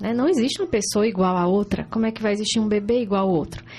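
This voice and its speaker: Her voice is fairly high for a woman and somewhat breathy. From Ceará, Brazil (Juazeiro do Norte, interior). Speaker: breastfeeding consultant. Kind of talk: informative interview.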